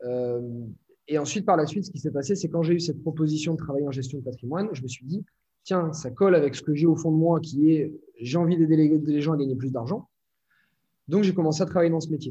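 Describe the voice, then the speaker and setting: Speaking at a very fast pace yet with long, frequent pauses, a man uses a fairly high pitch, ordinary pitch variation and a dark, mellow tone. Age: 20s. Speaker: entrepreneur and online trainer. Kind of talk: casual interview.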